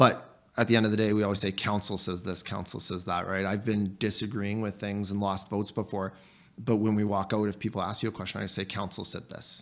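A man with a Canadian accent at a fairly low pitch and very fast pace, monotone and flat, on a very clean recording with a silent background. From Canada (small town, central Alberta area). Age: 30s. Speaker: town councillor and soldier. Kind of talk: casual interview.

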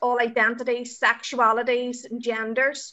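A woman's high voice in an Irish accent. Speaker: youth project podcast host. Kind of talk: podcast interview moderation.

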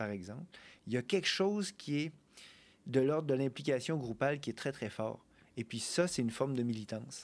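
On a very clean recording with a silent background, a man of medium pitch talks at a fairly quick pace with lively intonation and long, frequent pauses. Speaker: ethnomusicologist and postdoc researcher. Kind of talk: casual chat.

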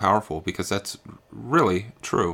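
A man speaks at a moderate pace in a very deep, low pitch. The recording is very clean, with a silent background. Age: 40s. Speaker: podcast host. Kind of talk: solo motivational talk. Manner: halting with many fillers.

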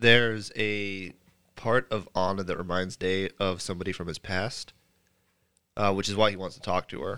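With a bright, sharp tone and a fairly low pitch, a man speaks at a moderate pace, leaving long, frequent pauses. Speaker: tabletop role-playing podcast player. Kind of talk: casual chat.

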